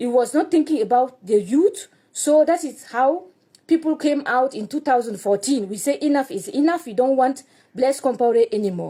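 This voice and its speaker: A woman's high-pitched voice with a dark, mellow tone, lively intonation and a moderate pace. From Burkina Faso. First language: French. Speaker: activist speaking about his country. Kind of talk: personal commentary. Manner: halting, non-native phrasing.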